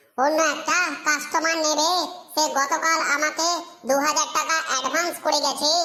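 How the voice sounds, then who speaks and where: A cartoonish character voice pitched high. It moves at a moderate pace with flat, monotone intonation. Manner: brusque, mocking.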